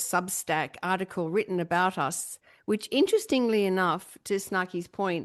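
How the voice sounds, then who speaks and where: At a moderate pace and medium pitch, a woman with a normal speaking voice talks with fairly even intonation over a quiet background. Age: middle-aged. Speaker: podcast host. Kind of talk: casual chat.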